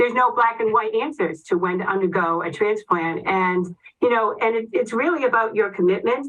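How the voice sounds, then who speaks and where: A woman's fairly high voice in a Boston accent, with lively intonation. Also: fairly quick pace. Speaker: oncology nurse. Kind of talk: educational presentation. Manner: fast.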